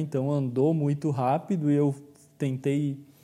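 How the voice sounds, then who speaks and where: This man has a dark, mellow tone. His pitch sits in the medium range. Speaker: psychologist and podcast host. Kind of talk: solo podcast monologue.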